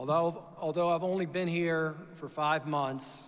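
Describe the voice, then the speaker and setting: Speaking with an American accent, a man talks in a fairly high register. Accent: Virginia accent, noticeable to locals. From Virginia. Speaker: chief financial officer. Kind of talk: formal speech to an audience. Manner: hesitant fillers.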